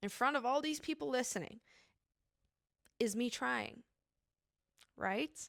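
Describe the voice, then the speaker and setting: A woman with an animated tone and lively intonation, long, frequent pauses, very clean recording with a silent background. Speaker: podcast host. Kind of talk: casual solo podcast monologue.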